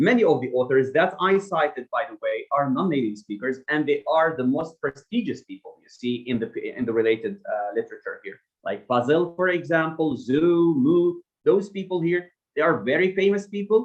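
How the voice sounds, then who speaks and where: A man's fairly high voice with a non-native accent, fairly quick, with very wide pitch swings and big swings in loudness. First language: not English. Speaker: academic researcher. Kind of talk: seminar Q&A. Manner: hesitant with fillers.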